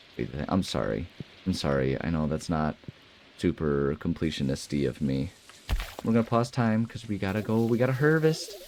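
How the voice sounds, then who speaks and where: A man with a very deep, low voice speaks at a fairly quick pace, his pitch swinging very widely, with noticeable background noise behind him. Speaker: let's play gamer. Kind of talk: casual gameplay commentary. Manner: animated.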